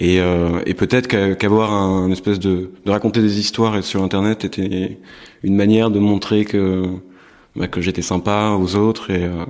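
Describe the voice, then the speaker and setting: In a monotone, flat delivery, a man speaks at a fairly low pitch. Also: moderate pace. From northern France (Compiègne). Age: 20s. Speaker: artist. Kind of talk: interview. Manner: halting, many hesitations.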